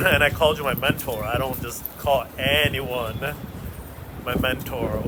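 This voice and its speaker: Amid audible room echo and noticeable background noise, a man talks at a moderate pace in a medium pitch with ordinary pitch variation. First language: not English. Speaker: stand-up comedian and show host. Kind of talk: casual chat while walking.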